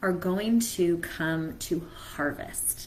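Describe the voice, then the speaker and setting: Fairly low-pitched female voice with lively intonation and audible room echo. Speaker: mentor. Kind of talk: live stream talk.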